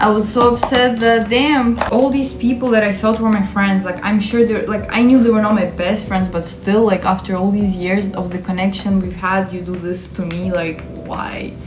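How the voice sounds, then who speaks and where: At a moderate pace, a woman talks at a medium pitch over noticeable background noise, with audible room echo. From Ukraine. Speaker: YouTuber. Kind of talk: casual storytelling vlog. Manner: animated.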